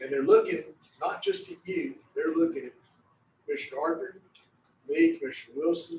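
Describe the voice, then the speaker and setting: A man talks with a Texan accent. His pace is fairly quick. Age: 60s. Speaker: county commissioner. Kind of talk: public meeting discussion. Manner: informal, plain-spoken.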